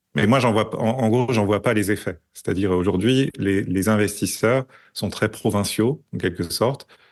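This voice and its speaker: Against a quiet background, a man speaks at a moderate pace. His voice is fairly low, with ordinary pitch variation. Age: 40s. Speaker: tech strategist and investor. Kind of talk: podcast interview. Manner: hesitant, many fillers.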